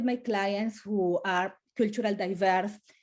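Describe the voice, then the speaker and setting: A woman's dark, mellow tone with a Colombian accent. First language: Spanish. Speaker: family lawyer. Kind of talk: webinar panel talk. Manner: halting, many repetitions.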